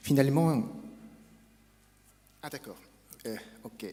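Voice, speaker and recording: Lively intonation marks this man's speech, delivered with a Japanese accent. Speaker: academic speaker. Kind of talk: conference lecture. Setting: academic conference.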